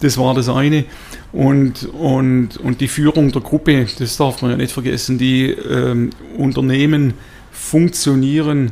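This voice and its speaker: A man speaks at medium pitch in a monotone, flat intonation. His pace is very slow, with noticeable background noise. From Swabia, southern Germany (near Tuttlingen). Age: 50s. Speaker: company executive. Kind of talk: interview. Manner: hesitant with many fillers.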